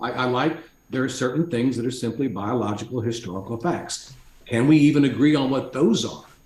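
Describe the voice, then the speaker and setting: Noticeable background noise and audible room echo accompany the recording. A man speaks at a fairly quick pace with medium pitch and ordinary pitch variation. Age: 60s. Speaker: executive coach and author. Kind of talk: casual chat.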